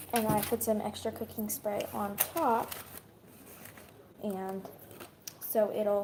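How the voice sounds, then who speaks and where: A woman speaks at a very slow pace and a fairly high pitch, her intonation fairly even. Long, frequent pauses break it up, with noticeable background noise behind. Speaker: YouTuber. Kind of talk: cooking tutorial. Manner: casual, hesitant with ums; whispering.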